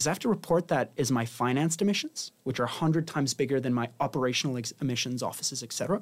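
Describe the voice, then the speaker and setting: On a very clean recording with a silent background, a man with a fairly high pitch and ordinary pitch variation talks very fast, with hardly any pauses. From Spain. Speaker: tech startup founder. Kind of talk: interview.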